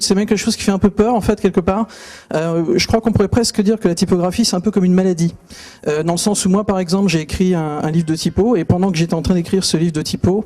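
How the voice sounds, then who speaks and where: A man's high-pitched voice at a very fast pace, fairly even intonation, noticeable background noise. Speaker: typography author and speaker. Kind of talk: conference talk. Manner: hesitant, many fillers.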